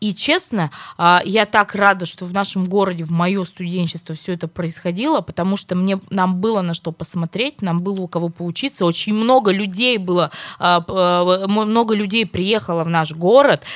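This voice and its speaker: A woman speaks at a moderate pace with medium pitch and ordinary pitch variation, in an unremarkable speaking voice. The recording is very clean with a silent background and a dry, close sound with no echo. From Perm, Russia. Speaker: radio host. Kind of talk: morning radio talk show.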